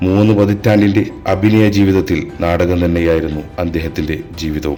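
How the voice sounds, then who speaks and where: Background music beneath a man speaking with ordinary pitch variation. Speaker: narrator. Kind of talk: biographical narration.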